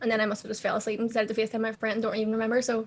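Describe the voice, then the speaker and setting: A fairly high-pitched woman with a Belfast accent. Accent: Belfast Northern Irish. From Northern Ireland, Belfast. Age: 20s. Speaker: amputee model and social media personality. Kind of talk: casual interview chat.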